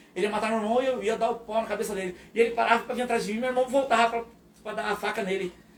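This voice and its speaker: The intonation is fairly even. Background noise is noticeable. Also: man. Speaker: pastor. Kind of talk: testimony. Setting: live podcast.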